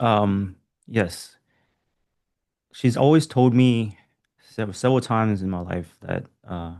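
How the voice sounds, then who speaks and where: Medium pitch from a man, very slow pace with long, frequent pauses, ordinary pitch variation and a quiet background. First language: not English. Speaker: writer. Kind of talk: casual chat. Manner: halting.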